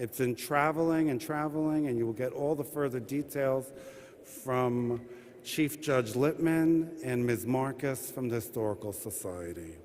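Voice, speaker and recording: A man speaks in a plain, everyday voice at a fairly slow pace. His pitch is medium, with ordinary pitch variation. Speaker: administrative judge welcoming an audience at a courthouse event. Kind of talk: formal event welcome and opening remarks. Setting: live event in a courthouse rotunda addressing an audience.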